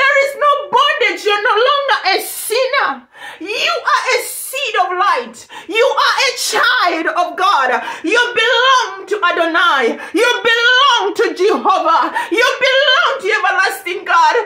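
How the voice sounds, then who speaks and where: A woman's raised, projected voice at a very slow pace, with audible room echo. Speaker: ministry preacher. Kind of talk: sermon. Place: home room. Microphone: phone near.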